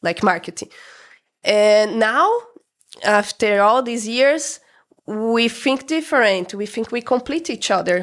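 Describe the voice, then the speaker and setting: A woman with a Brazilian accent talks very slowly, leaving long and frequent pauses. Her fairly high voice has lively intonation. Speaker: restaurant co-owner. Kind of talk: interview. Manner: halting.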